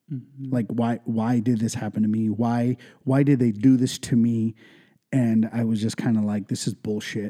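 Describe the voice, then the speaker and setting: With an American accent, a man speaks at a moderate pace in a dark, mellow tone and monotone, flat intonation. The sound is dry and close, with no echo. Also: medium pitch for a man. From California, Ventura County. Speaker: entrepreneur, liquor store owner. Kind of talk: casual interview.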